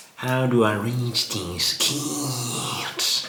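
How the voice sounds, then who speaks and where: Against clear background noise, a man puts on a character voice at a medium pitch. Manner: sinister, scheming.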